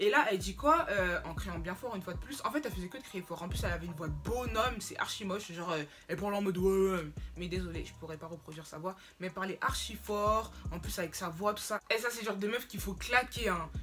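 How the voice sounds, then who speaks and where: A woman talks at a very fast pace with big swings in loudness. Music plays in the background. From Cameroon. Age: young. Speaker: YouTuber. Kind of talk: casual storytime talk to camera. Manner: lively, slangy.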